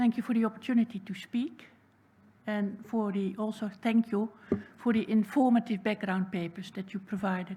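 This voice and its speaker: A woman's somewhat breathy, dark, mellow voice with a Dutch accent, at a moderate pace with fairly even intonation. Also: fairly high pitch for a woman. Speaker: public submitter. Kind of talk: public submission speech.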